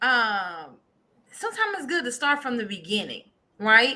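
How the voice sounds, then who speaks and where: A woman projects a raised, bright, sharp voice with an animated tone. Her pitch swings very widely at a fairly slow pace. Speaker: co-host, prophetess. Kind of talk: casual chat. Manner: loud.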